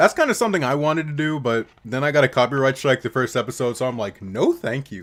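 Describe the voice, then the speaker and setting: Very fast speech from a man at a medium pitch, with ordinary pitch variation and hardly any pauses. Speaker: streamer. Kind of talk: casual chat. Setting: live stream. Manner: halting.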